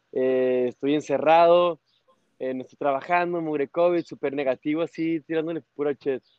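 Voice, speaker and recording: At a moderate pace, a normal speaking voice talks with fairly even intonation. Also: man. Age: 30s. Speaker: motorcycle traveler. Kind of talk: casual interview.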